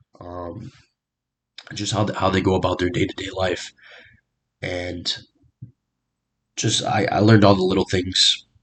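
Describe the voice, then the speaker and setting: Very deep and low, a man's voice moves at a fairly slow pace in a flat monotone, broken by long, frequent pauses. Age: 20s. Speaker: recent graduate doing mock job interview. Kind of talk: mock job interview answers. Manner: halting, many fillers.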